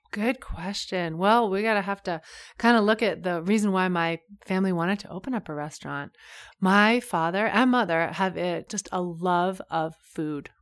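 An animated tone comes through in an American accent, with ordinary pitch variation at a moderate pace. The recording is very clean, with a silent background. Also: woman, medium pitch for a woman. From US Northeast, coast of Maine. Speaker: yoga and mindfulness teacher. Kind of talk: casual interview.

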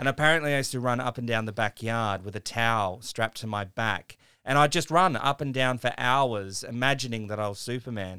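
A man with an Australian accent, medium pitch and a bright, sharp tone, with ordinary pitch variation and hardly any pauses, in a dry, close sound with no echo and a very clean recording with a silent background. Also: fairly quick pace. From regional South Australia (Mount Gambier). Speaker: former actor turned tech entrepreneur. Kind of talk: radio interview.

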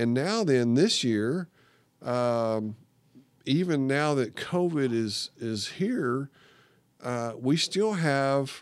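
Very slow and broken by long, frequent pauses, a man's speech has a Texan accent, fairly high pitch and lively intonation. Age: 60s. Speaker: retired woodworking hobbyist, accident survivor. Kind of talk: casual interview. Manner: halting, repetitive.

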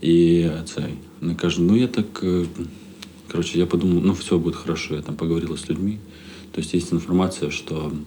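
Very deep and low in pitch with a dark, mellow tone, a man speaks at a fairly quick pace with ordinary pitch variation and long, frequent pauses. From Odesa region, Ukraine. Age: 30s. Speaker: stand-up comedian. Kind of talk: casual chat. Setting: hotel room.

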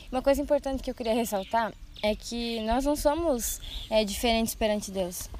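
This woman speaks in a fairly high voice, moderately paced, with ordinary variation in pitch. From Brazil, Rio Grande do Sul (Santa Rosa). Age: 20s. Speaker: missionary trainee. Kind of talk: podcast conversation on church topics. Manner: hesitant, many filler sounds.

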